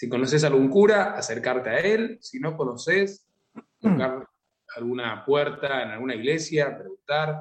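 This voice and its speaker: Man with an unremarkable speaking voice, lively intonation and a moderate pace. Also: fairly high pitch for a man. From Argentina, Buenos Aires province (San Antonio de Areco). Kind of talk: interview.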